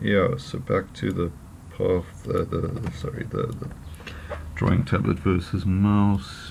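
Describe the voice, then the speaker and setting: A man's very deep, low voice at a very slow pace with ordinary pitch variation. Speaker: photo retoucher making tutorials. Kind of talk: tutorial. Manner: halting, many fillers. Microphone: poor audio quality.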